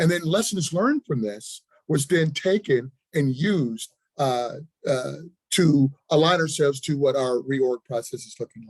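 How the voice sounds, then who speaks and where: The man's voice is fairly high, and it comes through dry and close with no echo. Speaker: health department official. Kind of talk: presentation at a public listening session. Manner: fast.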